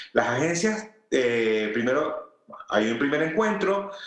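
Lively intonation in a Venezuelan accent, with audible room echo and noticeable background noise. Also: man. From Venezuela, Valencia. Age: 40s. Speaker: food and product photographer. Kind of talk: interview.

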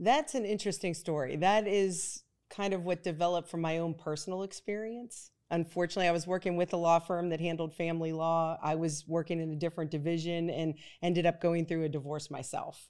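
A woman's plain, everyday voice with an American accent, fairly low in pitch, fairly quick with hardly any pauses and fairly even intonation, in a very clean recording with a silent background. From Pennsylvania, Pittsburgh. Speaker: family lawyer. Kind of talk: casual interview.

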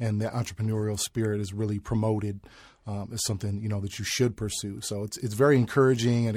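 In a very clean recording with a silent background, a man with an American accent talks very fast, his fairly low voice somewhat breathy and his intonation fairly even. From Chicago. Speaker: graphic designer. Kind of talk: interview.

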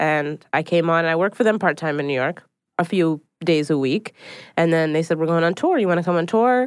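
A woman talks at a fairly quick pace in a plain, everyday voice, fairly low in pitch with ordinary pitch variation. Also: quiet background. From Philadelphia, US. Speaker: stand-up comedian and writer. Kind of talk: casual chat.

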